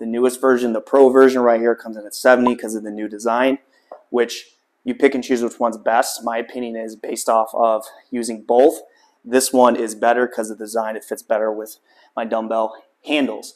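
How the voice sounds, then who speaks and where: A man talking at a fairly quick pace in a flat, monotone delivery. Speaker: home gym reviewer. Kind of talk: product review vlog. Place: garage.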